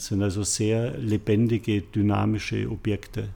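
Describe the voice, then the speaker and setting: The tone is dark and mellow, with fairly even intonation. The recording is very clean, with a silent background. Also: man. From Bavaria, Munich. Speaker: artist. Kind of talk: interview. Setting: gallery studio.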